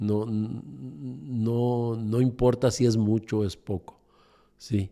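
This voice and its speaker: His voice has a dark, mellow tone. A man speaks at a medium pitch. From Mexico City. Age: 60s. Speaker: entrepreneur. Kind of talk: interview conversation. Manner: halting, many fillers.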